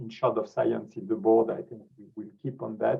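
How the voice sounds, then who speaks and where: A man with a French accent. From France. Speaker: scientific society president. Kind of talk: closing remarks on webinar. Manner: halting, many repetitions and fillers.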